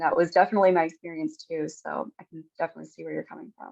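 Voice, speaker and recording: A woman with an American accent has an ordinary speaking voice at a fairly low pitch. Her intonation is fairly even, and the sound is dry and close with no echo. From United States. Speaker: panel moderator. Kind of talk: panel discussion.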